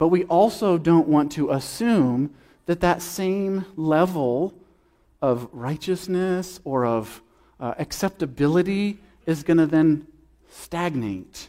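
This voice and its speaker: In a very clean recording with a silent background, a man speaks very slowly at a high pitch. His tone is dark and mellow, with ordinary pitch variation. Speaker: preacher. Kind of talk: sermon. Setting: church.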